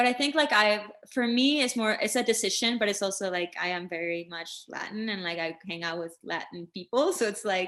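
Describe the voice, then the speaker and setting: With a Spanish accent, a woman speaks at a fairly quick pace, with lively intonation and hardly any pauses. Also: medium pitch for a woman. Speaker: singer-songwriter. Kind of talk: interview. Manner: casual, filler-heavy.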